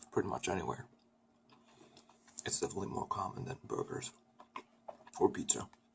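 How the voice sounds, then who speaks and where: A soft-spoken man at a fairly quick pace, with long, frequent pauses. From Sweden. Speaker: ASMR creator. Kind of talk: ASMR eating video talk to camera. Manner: soft-spoken, soothing.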